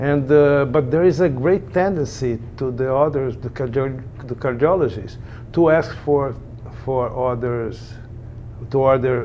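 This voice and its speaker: Speaking with a Brazilian Portuguese accent, a man uses a medium pitch with ordinary pitch variation. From Brazil, Rio de Janeiro. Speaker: echocardiographer. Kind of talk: interview. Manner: halting, many repetitions and fillers.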